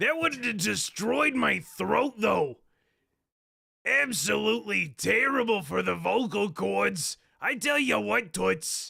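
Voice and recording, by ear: A man puts on a raspy character voice with high pitch. His loudness stays very even, and his pace is fairly slow.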